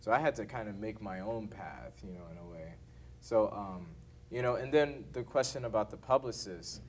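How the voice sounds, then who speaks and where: In an American accent, a man with a fairly low pitch and vocal fry speaks at a moderate pace, his loudness swinging a lot. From Texas, Houston. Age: young. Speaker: jazz saxophonist. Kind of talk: masterclass Q&A talk. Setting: university masterclass. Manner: halting, many fillers.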